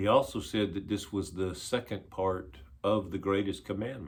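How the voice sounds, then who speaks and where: A fairly low-pitched man at a fairly slow pace. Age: 60s. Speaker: pastor. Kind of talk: devotional talk.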